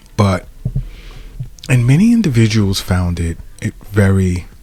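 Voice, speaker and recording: A man is speaking. Music plays in the background. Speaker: acupuncturist podcast host. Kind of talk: solo podcast monologue. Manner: conversational, with false starts.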